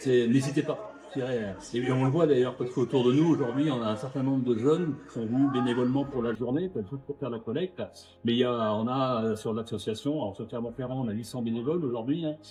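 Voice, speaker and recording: Against noticeable background noise, a man at medium pitch talks at a very fast pace with ordinary pitch variation. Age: 60s. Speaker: charity volunteer. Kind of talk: street interview. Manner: hesitant, many fillers.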